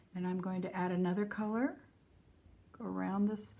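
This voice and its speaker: Fairly low in pitch, a woman speaks with vocal fry. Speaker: art teacher. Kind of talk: tutorial.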